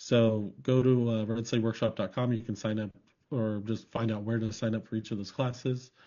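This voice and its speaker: In a monotone, flat intonation, a man talks at a medium pitch. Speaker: co-host, Christmas light business trainer. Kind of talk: casual live interview. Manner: fast.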